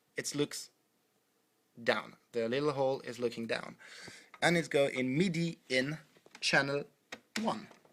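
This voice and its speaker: The speaker has a French accent and a fairly slow pace. Long pauses come often. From France. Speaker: music producer. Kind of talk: tutorial. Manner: halting.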